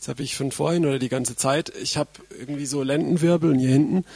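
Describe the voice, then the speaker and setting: Fairly high in pitch with a dark, mellow tone, a man talks at a fairly quick pace with fairly even intonation in a dry, close sound with no echo. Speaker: preacher. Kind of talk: sermon. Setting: stage with audience.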